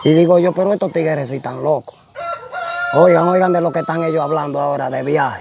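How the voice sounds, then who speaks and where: Over clear music in the background, a man with a Dominican accent talks very fast with fairly even intonation and a dry sound with no echo. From Dominican Republic, Puerto Plata; Dominican Republic. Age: young. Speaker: shipwreck survivor; interviewee. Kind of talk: testimony. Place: open country. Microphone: lapel.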